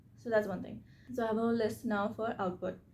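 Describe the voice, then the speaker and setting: A woman's voice carries a dark, mellow tone, lively intonation and vocal fry. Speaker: YouTuber, self-reflection and reading channel host. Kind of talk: tutorial. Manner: fast; casual, conversational.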